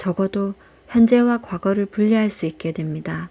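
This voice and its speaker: The speech moves at a fairly slow pace, with a dark, mellow tone and fairly even intonation. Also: woman. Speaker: audiobook reader. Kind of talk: audiobook reading, calm and intimate (ASMR style). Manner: soft-spoken, slow.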